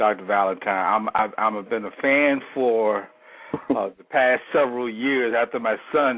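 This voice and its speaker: The man has an American accent and a medium pitch with ordinary variation. He speaks at a fairly slow pace over noticeable background noise. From United States. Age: 60s. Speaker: caller. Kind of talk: call-in question. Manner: halting.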